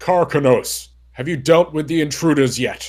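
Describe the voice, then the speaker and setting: A man performs a put-on character voice at a fairly high pitch. The recording is very clean, with a silent background. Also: moderate pace. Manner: demanding.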